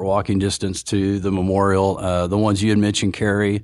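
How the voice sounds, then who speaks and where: With an American accent, a man talks at a very fast pace in a fairly low pitch against a quiet background. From Oklahoma. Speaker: city transit administrator. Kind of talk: casual interview.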